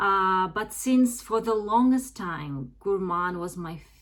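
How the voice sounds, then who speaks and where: A woman with a medium pitch talks at a very slow pace, her intonation lively. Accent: Russian. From Russia. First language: Russian. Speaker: fragrance YouTuber. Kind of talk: casual product review vlog. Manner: hesitant, many fillers.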